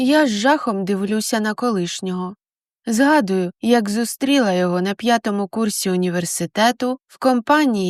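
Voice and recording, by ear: A natural-voiced read-aloud over a silent backdrop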